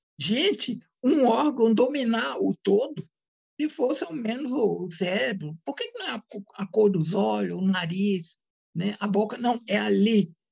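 Speaking at a very slow pace, a woman with a medium pitch uses lively intonation and vocal fry. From Brazil, Minas Gerais. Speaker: psychoanalyst and author. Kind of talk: interview.

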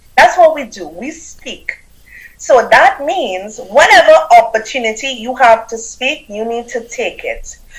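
A woman speaks with a Trinidadian accent at a high pitch and a fairly slow pace. Her loudness swings widely. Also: lively intonation. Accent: Caribbean, Trinidadian. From Trinidad and Tobago. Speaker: business coach and author. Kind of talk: interview, storytelling. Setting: video call, live stream.

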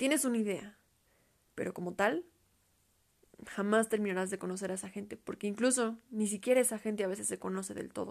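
Speaking at a fairly quick pace, a woman with a medium pitch and ordinary pitch variation leaves long, frequent pauses. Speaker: podcaster. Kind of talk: casual solo monologue.

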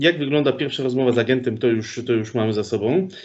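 Using a plain, everyday voice, a man talks at a moderate speed, his pitch varying in an ordinary way. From Poland, Sosnowiec. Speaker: podcast host. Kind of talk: casual interview.

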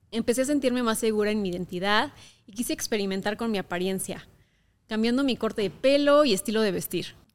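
A woman's fairly high voice at a very fast pace, with ordinary pitch variation and big swings in loudness, on a very clean recording with a silent background. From Mexico, Querétaro. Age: 20s. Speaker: podcast host, content creator. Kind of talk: personal monologue podcast.

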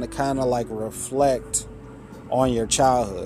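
A man at medium pitch is heard over noticeable background noise. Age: 30s. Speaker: podcaster and author. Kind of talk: solo podcast monologue.

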